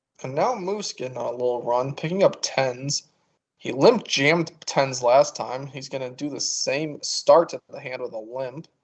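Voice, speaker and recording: An unremarkable speaking voice from a man, fairly high in pitch with ordinary pitch variation, big swings in loudness and a moderate pace. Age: 20s. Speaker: poker commentator. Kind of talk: live commentary.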